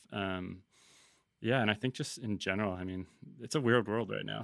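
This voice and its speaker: A man speaks with a Canadian accent. His voice carries vocal fry. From Vancouver, Canada. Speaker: brand cofounder and marketer. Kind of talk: casual interview conversation. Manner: casual, filler-heavy.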